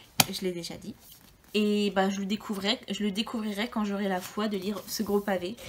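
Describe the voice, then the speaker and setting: At a moderate pace, a woman speaks in a somewhat breathy, medium-pitched voice with monotone, flat intonation. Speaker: book YouTuber. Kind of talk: casual video monologue. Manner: hesitant, many fillers.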